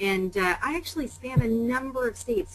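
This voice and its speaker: With a Canadian accent, a woman speaks at a fairly quick pace in a fairly high voice with lively intonation over noticeable background noise. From Canada. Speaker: pharmaceutical sales executive. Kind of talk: webinar interview. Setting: webinar call.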